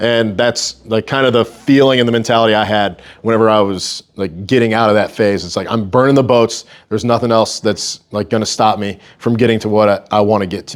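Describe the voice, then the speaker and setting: Here is a man with a normal speaking voice at a medium pitch. He talks at a fairly quick pace with hardly any pauses. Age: 30s. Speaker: strength coach and gym owner. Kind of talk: talk to a local group. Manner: casual, filler-heavy.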